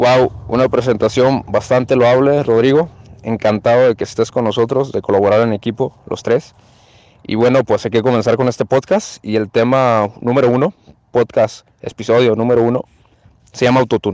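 In a plain, everyday voice, a man of medium pitch talks at a moderate pace with fairly even intonation, the sound dry and close with no echo. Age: 20s. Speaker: podcast host. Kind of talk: casual discussion.

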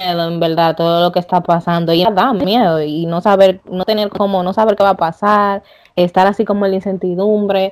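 An unremarkable speaking voice from a woman, medium in pitch, with fairly even intonation at a moderate pace. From Dominican Republic. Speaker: podcast host. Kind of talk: casual interview.

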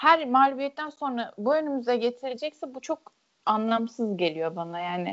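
This is a plain, everyday voice. A woman with a fairly high pitch talks at a moderate pace. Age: 20s. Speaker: football commentator. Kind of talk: casual chat. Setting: podcast recording.

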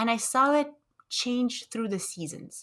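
Speaking fairly slowly, a woman is heard on a very clean recording with a silent background. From Romania, raised in Montreal, Canada. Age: 20s. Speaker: university student. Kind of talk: interview conversation. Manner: reflective, hesitant with fillers.

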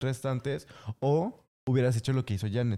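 The voice has a dark, mellow tone and a moderate pace on a very clean recording with a silent background. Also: man. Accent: Mexican. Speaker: podcast co-host. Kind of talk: casual chat.

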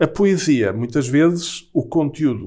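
A man with a Lisbon accent, fairly high-pitched with a dark, mellow tone, lively intonation and a very slow pace. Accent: European Portuguese, Lisbon. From Portugal, Lisbon. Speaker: writer and university professor. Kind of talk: casual interview conversation. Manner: halting, with frequent repetitions.

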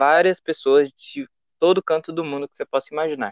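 The man's voice sits fairly high in pitch, recorded dry and close with no echo. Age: 20s. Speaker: traveler. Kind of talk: casual interview.

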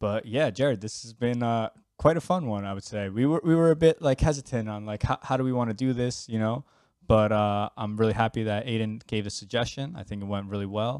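A man with a New York accent at medium pitch and a fairly quick pace, with ordinary pitch variation and big swings in loudness, on a very clean recording with a silent background and a dry, close sound with no echo. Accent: New York American. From US, New York. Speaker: podcast co-host. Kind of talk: casual chat.

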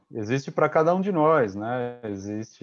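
This is a man's voice. His pitch is medium. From Brazil, interior of São Paulo state. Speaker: podcast co-host. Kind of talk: casual chat.

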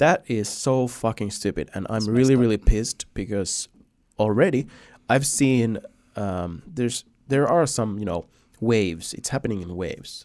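A man talks at a moderate pace with a Finnish accent. His pitch is medium. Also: lively intonation. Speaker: podcast host. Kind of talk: casual interview chat.

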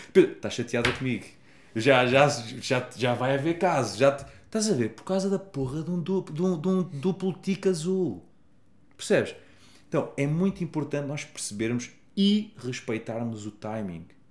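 A man talks at a moderate pace in a fairly high pitch, his voice somewhat breathy. His pitch swings very widely. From Portugal. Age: 30s. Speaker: happiness coach. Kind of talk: casual chat.

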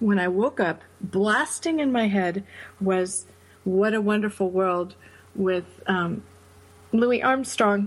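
Her voice is somewhat breathy and medium in pitch. The woman speaks very slowly, with ordinary pitch variation. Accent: American. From upstate New York. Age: 40s. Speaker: charity founder, bereaved mother. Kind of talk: interview.

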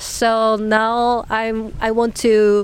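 This speaker has a Japanese accent and a monotone, flat intonation. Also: woman. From Nagasaki, Japan. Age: 30s. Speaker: master's student and former journalist. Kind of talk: casual interview conversation. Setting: outdoors on a public bench. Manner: halting, hesitant, many fillers.

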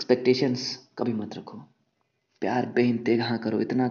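This man's voice sits at a medium pitch, with vocal fry. He talks at a moderate pace in a monotone, flat intonation. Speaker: podcaster. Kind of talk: casual monologue on love. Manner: casual and unscripted, with hesitations.

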